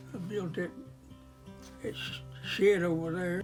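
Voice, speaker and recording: Music plays behind a man speaking at a high pitch. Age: 80s+. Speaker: World War 2 Navy veteran and woodworker. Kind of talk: interview answer. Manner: halting, repetitive.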